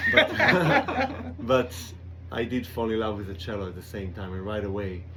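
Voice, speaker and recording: A man with an Israeli accent, fairly low in pitch, at a moderate pace with fairly even intonation and audible room echo. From Israel, kibbutz. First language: Hebrew. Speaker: cellist. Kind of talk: radio interview. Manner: halting.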